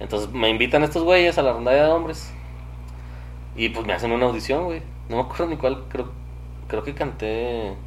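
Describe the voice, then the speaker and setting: Noticeable background noise and audible room echo surround a man with a Mexican accent who leaves long, frequent pauses. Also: moderate pace. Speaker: musician and podcaster. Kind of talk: casual chat.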